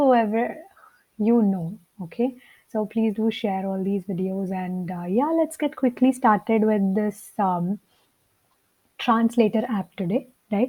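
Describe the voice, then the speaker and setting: On a very clean recording with a silent background, a woman speaks at a fairly high pitch and a fairly slow pace, somewhat breathy and with a dark, mellow tone, leaving long, frequent pauses. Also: ordinary pitch variation. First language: Telugu. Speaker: coding teacher. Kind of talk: tutorial. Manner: hesitant, with many fillers.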